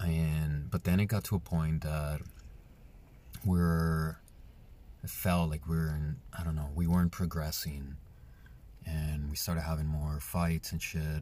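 With a Spanish accent and a very deep, low pitch, a man talks in a dark, mellow tone with fairly even intonation and long, frequent pauses. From Colombia; Medellin, Colombia. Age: 30s. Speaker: podcast host. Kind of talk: solo podcast monologue, personal storytelling. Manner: casual, conversational, candid.

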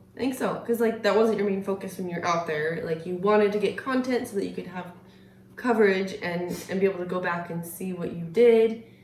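Talking at a fairly quick pace, a woman with an unremarkable speaking voice keeps a medium pitch that varies in an ordinary way. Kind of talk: casual chat.

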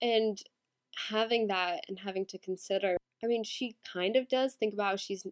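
Against a quiet background, the speaker reads in a natural reading voice.

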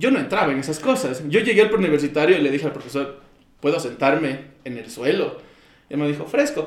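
A man talks at a very fast pace in a fairly high pitch, with lively intonation and big swings in loudness. There is audible room echo. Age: 20s. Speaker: podcast guest. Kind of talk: casual chat.

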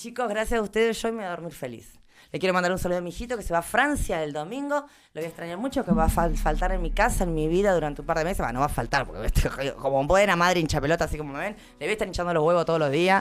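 With an animated tone and lively intonation, a woman talks at a very fast pace in a fairly low pitch. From Argentina, Patagonia (Caleta Olivia). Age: 20s. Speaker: radio host. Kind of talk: casual chat.

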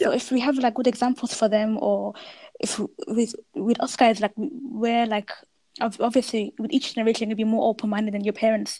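A woman's somewhat breathy voice with a dark, mellow tone, fairly even intonation and a fairly quick pace. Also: fairly high pitch for a woman. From Birmingham, England. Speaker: podcast host. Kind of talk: casual chat.

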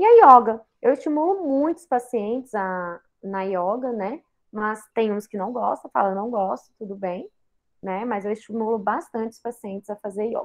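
A woman with an ordinary speaking voice, a fairly high pitch, ordinary pitch variation and a moderate pace. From Brazil, Goiás (Goiânia). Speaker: psychiatrist and lecturer. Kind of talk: guest lecture.

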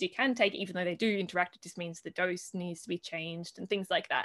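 A woman speaks with an Australian accent. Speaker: herbalist and conference organiser. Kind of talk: interview. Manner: hesitant, many fillers.

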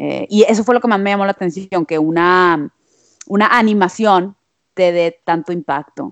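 The sound is dry and close, without any echo. At a moderate pace, an ordinary speaking voice shows ordinary pitch variation. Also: woman, medium pitch for a woman. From Monterrey, Mexico. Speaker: musician. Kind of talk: casual chat.

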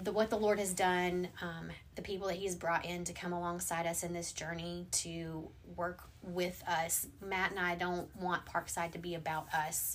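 This woman has an American accent and a fairly low pitch. Her intonation is monotone and flat, and her pace is moderate. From US South. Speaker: pastor. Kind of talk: casual chat.

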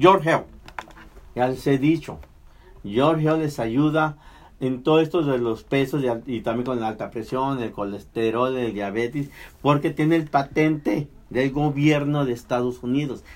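A normal speaking voice, a man at medium pitch, fairly slow pace, ordinary pitch variation. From Mexico. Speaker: radio host. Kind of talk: casual chat.

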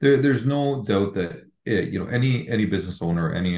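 Intonation runs lively as a man talks at a moderate pace. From Lebanon. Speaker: real estate broker. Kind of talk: interview. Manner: hesitant with fillers and repetitions.

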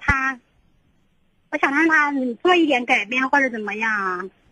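With a raised, projected voice, a woman speaks at a moderate pace in a high pitch with a bright, sharp tone and ordinary pitch variation. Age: 20s. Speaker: caller seeking marriage advice. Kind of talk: call-in advice conversation. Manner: halting.

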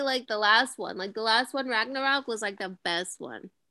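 Projecting her raised voice at a moderate pace, a woman speaks in a bright, sharp tone on a very clean recording with a silent background. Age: 20s. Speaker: podcast co-host. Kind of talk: casual chat. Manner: loud.

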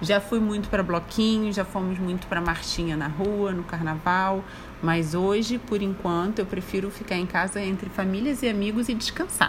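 Medium pitch for a woman, ordinary pitch variation, a moderate pace with hardly any pauses, and noticeable background noise. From Brazil, Rio de Janeiro. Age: 30s. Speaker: mother interviewed by her son. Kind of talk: casual interview.

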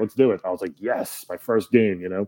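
A man speaks fairly quickly in an ordinary speaking voice, fairly low in pitch and with fairly even intonation. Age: 30s. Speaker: stand-up comedian and voice actor. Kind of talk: casual chat.

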